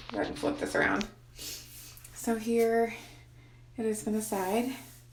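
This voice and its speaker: A woman talks at a moderate speed, her voice carrying audible room echo. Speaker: pregnancy vlogger. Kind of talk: casual vlog update. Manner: hesitant, many fillers.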